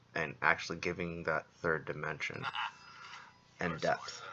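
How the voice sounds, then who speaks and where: Over light background noise, a man with a very deep, low pitch speaks at a very slow pace, his fairly even intonation carrying vocal fry. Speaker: presenter. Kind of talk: gameplay commentary. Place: home room.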